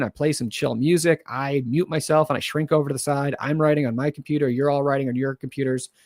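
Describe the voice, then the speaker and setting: On a very clean recording with a silent background, a man with a fairly high pitch and ordinary pitch variation speaks in a normal speaking voice. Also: dry, close sound with no echo. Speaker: screenwriting livestream host. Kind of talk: casual livestream chat. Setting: livestream from own computer. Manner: casual, filler-heavy.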